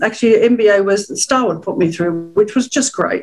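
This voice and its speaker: With an Australian accent, a woman talks at a fairly high pitch. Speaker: webinar host, hospitality executive. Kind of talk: webinar panel talk.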